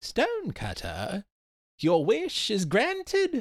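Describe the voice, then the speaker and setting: A put-on character voice at a very slow pace. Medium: read story. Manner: gleeful, mischievous.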